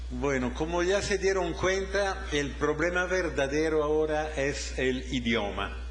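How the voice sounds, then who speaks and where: Over noticeable background noise and audible room echo, a man speaks at a fairly slow pace with hardly any pauses and very even loudness. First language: Italian (speaking Spanish). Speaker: professor of mathematics education. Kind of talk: lecture.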